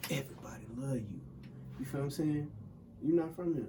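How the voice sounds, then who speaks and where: Amid audible room echo, a man with an American accent talks at a very fast pace and a fairly high pitch, keeping his intonation fairly even. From US South. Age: 20s. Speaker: music producer and engineer. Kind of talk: casual interview. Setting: studio.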